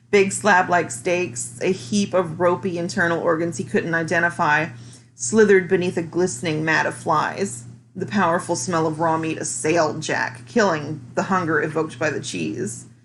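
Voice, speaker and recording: Music plays behind a woman speaking at a moderate pace. Her fairly low voice has lively intonation. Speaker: amateur reader. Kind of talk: audiobook reading.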